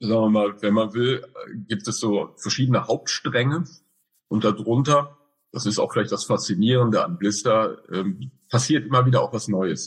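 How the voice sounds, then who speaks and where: A man talks at a medium pitch and a moderate pace, somewhat breathy, with ordinary pitch variation. He leaves long, frequent pauses. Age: 50s. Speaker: director of a school for the blind. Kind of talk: interview. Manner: hesitant with fillers.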